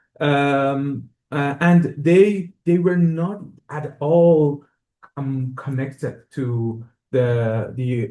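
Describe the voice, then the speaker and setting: A man with an Iranian accent, dark and mellow in tone, with ordinary pitch variation. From Iran, Tehran. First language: Persian. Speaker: music professor, composer. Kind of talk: lecture. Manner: halting, many fillers.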